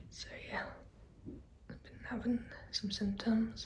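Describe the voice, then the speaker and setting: Quietly and at a fairly slow pace, a woman speaks in a room with audible echo and noticeable background noise. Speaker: vlogger. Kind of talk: personal vlog.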